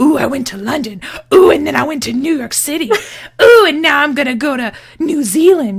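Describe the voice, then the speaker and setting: The speaker uses a put-on character voice at a high pitch. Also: fairly quick pace. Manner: mocking, sing-song bragging.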